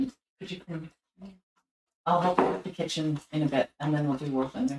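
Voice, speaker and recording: A woman with a very deep, low pitch, with lively intonation at a moderate pace, over music in the background. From northern Sweden. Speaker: streamer. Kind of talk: casual chat.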